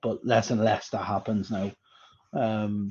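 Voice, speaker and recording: Against a quiet background, a man speaks at a fairly slow pace. His medium-pitched voice has a dark, mellow tone. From Ireland. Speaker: HR director. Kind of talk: interview.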